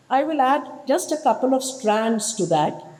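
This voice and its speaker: A woman talks at a moderate speed, and there is noticeable noise in the background. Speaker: senior lawyer. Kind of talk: public speech at an event.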